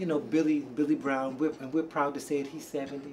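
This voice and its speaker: A man talks at a fairly quick pace. His is an unremarkable speaking voice with a fairly high pitch. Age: 60s. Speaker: R&B singer and backup vocalist. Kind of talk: interview.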